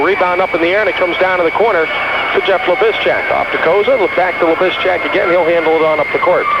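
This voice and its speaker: A man talks at a very fast pace. Noticeable background noise can be heard behind him. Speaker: radio play-by-play announcer. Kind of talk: radio sports play-by-play commentary. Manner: fast, excited.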